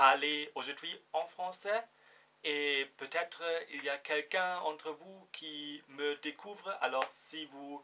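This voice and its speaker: At a very slow pace, a man speaks in a bright, sharp, fairly high voice with big swings in loudness. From Germany. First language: German (speaking French). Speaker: vlogger. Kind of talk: casual vlog. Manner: halting, many fillers.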